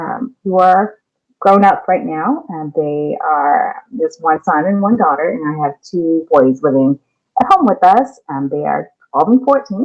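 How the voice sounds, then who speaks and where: A woman with a Californian accent talks at a fairly slow pace, her medium-pitched voice making very wide pitch swings. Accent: California. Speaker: elementary school teacher. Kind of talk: lesson for children.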